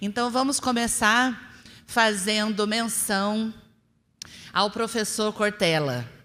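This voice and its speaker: A fairly high, bright, sharp female voice at a very slow pace, with fairly even intonation and long, frequent pauses. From interior of São Paulo state, Brazil. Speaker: spiritist lecturer. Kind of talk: religious lecture.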